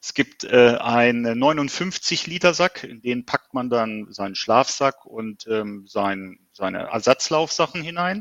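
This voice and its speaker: Over a quiet background, a man speaks at a very slow pace with lively intonation, the sound dry and close with no echo. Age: 50s. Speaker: ultrarunner. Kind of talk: interview. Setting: video call.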